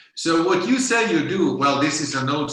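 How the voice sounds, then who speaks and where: A man talks at a moderate pace with lively intonation in a Swedish accent. Noticeable background noise and audible room echo fill the recording. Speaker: conference speaker, investor and app developer. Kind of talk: conference presentation. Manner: halting, many fillers.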